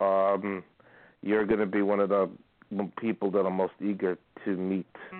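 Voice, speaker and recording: A man's fairly low-pitched voice. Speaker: caller. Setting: phone call.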